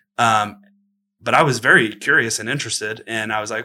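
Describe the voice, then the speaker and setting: A man's bright, sharp voice at a medium pitch, very fast, with an American accent. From Texas, Austin. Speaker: film director. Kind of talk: interview. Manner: casual, filler-heavy.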